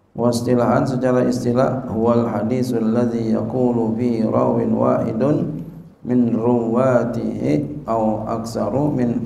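At a very slow pace, a man speaks at medium pitch with fairly even intonation and audible room echo. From Indonesia. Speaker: Islamic cleric teaching a hadith text; religious teacher. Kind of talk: religious lecture, reading and explaining Arabic text. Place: hall. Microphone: podium.

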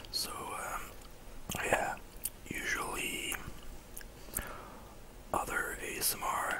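Whispering very slowly, the speaker leaves long, frequent pauses. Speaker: ASMR content creator. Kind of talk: casual talk to camera. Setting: gaming session with eating sounds. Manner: whispered, soft-spoken. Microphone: studio mic.

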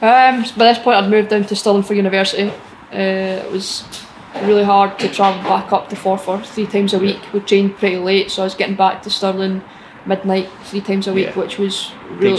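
Over light background noise, a woman talks at a fairly quick pace in a monotone, flat intonation. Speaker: interviewee. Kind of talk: interview answer. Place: stadium.

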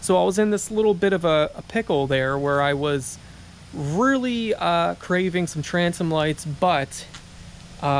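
Against light background noise, a man speaks with lively intonation in a dry sound with no echo. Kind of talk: casual vlog chat. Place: street. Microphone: phone near.

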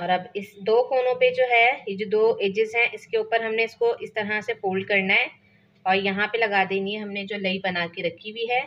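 At a moderate pace, a woman speaks at a medium pitch with a fairly bright tone and fairly even intonation.

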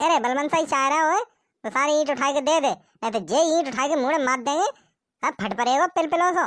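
A cartoonish character voice rattles along at a very fast pace with a high pitch. The background is quiet. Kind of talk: comic cartoon dub acting. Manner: swaggering, bullying, taunting.

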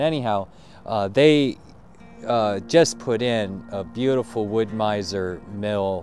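Faint music plays in the background of this dry recording with no echo. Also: man. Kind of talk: casual vlog chat. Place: open country. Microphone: phone near.

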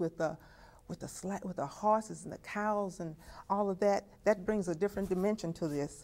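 At a moderate pace, a woman with an American accent speaks in a dark, mellow tone with ordinary pitch variation. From Texas. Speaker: family historian; interviewee. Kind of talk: testimony. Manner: halting. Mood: earnest, reflective. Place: home room.

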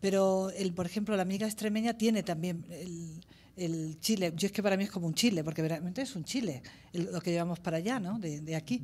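Somewhat breathy with a dark, mellow tone, the voice moves at a fairly quick pace with ordinary pitch variation on a very clean recording with a silent background. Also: woman, medium pitch for a woman. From Spain, La Vera (Cáceres, Extremadura). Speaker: ethnologist. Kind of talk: conference talk. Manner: halting.

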